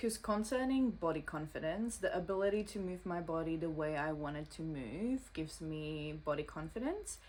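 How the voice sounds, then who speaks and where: Speaking with a non-native accent, a woman with fairly low pitch keeps a moderate pace and lively intonation. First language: not English. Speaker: social media creator. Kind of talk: reading aloud.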